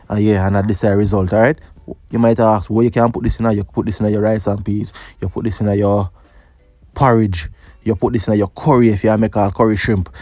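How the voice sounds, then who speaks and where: Music plays as a man with a Jamaican accent talks at a fairly quick pace with fairly even intonation. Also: fairly low pitch for a man. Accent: Jamaican Patois. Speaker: cooking youtuber. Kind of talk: cooking tutorial voiceover. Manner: casual.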